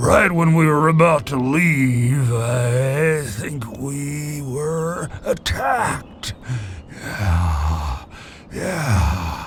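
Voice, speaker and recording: At a very slow pace, a man puts on a character voice at medium pitch over clear background noise. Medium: video game. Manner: rambling, chuckling.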